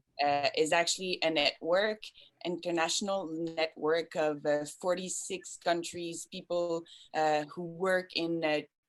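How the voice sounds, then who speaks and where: Speaking at a fairly slow pace in a Quebec accent, a woman keeps a fairly low pitch and a monotone, flat intonation. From Quebec, Canada. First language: French. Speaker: children's film organization board member. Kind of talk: panel discussion. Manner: halting.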